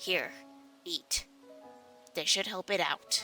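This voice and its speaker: Over faint music in the background, a put-on character voice speaks at a middle pitch. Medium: read story. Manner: blunt, commanding.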